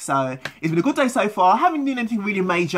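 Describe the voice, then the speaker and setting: In a London accent, a woman talks at a very fast pace with lively intonation. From London, England. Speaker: vlogger. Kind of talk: casual vlog talk.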